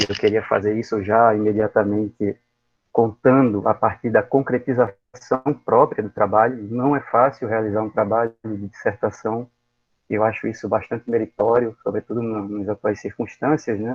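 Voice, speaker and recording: A man delivers his words at a moderate pace with monotone, flat intonation. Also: medium pitch for a man. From Pernambuco, Brazilian Northeast. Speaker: university professor, thesis examiner. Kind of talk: academic thesis defense feedback. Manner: hesitant, many fillers and repetitions.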